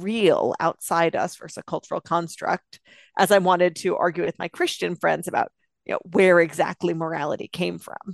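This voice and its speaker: A woman with a plain, everyday voice speaks at a fairly quick pace in a fairly low pitch with fairly even intonation. The sound is dry and close with no echo over a quiet background. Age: 30s. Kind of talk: interview.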